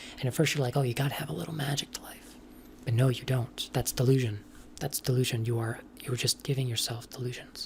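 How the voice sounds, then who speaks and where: Soft-spoken, the voice moves at a very fast pace. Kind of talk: casual rambling monologue.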